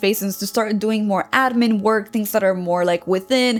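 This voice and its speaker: With a non-native accent and a fairly high pitch, a woman speaks over noticeable background noise. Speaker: women's alignment coach. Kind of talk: coaching talk to camera. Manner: casual, with fillers and self-corrections.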